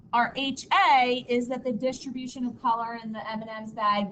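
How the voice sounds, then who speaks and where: There is audible room echo as a woman speaks at a fairly high pitch. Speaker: high school statistics teacher. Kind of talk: classroom lecture. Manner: loud; casual, filler-heavy.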